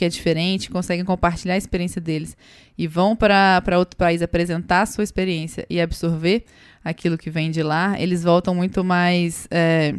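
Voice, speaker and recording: Someone speaks with a Minas Gerais accent on a very clean recording with a silent background. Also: woman. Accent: Minas Gerais accent, noticeable. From Brazil, Minas Gerais. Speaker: startup co-founder. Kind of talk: podcast interview.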